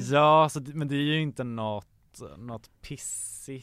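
Here a man speaks at a fairly high pitch. His intonation stays fairly even. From Sweden, Gävle. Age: 20s. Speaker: podcast guest. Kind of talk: casual chat.

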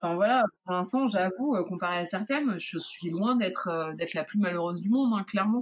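A woman's ordinary speaking voice at medium pitch, fairly quick, with ordinary pitch variation. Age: 30s. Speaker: illustrator. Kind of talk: testimony.

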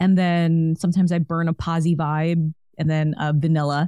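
A woman with a plain, everyday voice speaks at a moderate pace in a fairly low pitch, in a dry, close sound with no echo. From New York City. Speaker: podcast host. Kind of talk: casual interview chat. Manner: upbeat, warm.

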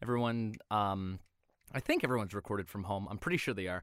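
This is a plain, everyday voice from a man, fairly low in pitch with ordinary pitch variation. The sound is dry and close with no echo, on a very clean recording with a silent background. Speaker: voice actor. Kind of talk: casual chat.

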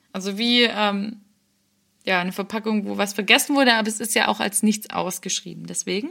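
Her voice is bright and sharp, medium in pitch, with vocal fry and fairly even intonation. The woman talks at a fairly quick pace on a very clean recording with a silent background. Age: 20s. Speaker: podcast co-host. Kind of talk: casual chat.

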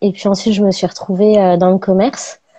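The woman's voice has a dark, mellow tone. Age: 30s. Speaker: ceramicist. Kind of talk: casual interview, live stream. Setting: live online video stream.

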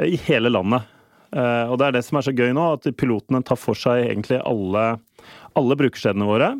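A normal speaking voice from a man, medium in pitch with ordinary pitch variation, at a fairly quick pace, with very even loudness and a dry, close sound with no echo against a quiet background. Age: 40s. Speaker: payments manager at a retail company. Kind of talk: interview. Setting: studio.

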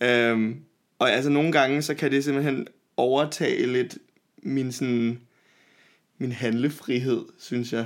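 A man at medium pitch, fairly slow and monotone, with flat intonation. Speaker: podcast co-host. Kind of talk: casual chat. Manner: sometimes suddenly loud.

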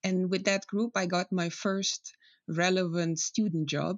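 At a moderate pace, a woman speaks in a Slovenian accent with a fairly low pitch. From Slovenia, countryside village. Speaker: climate scientist. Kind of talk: interview.

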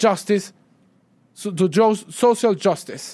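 A man with a Spanish accent speaks at a moderate pace in a high pitch, with ordinary pitch variation. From Venezuela. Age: 20s. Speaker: student movement leader. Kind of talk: public lecture. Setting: stage with audience. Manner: halting.

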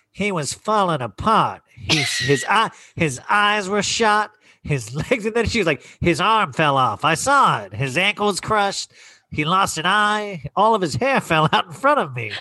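A man performs a nasal put-on character voice at high pitch with very wide pitch swings and a moderate pace.

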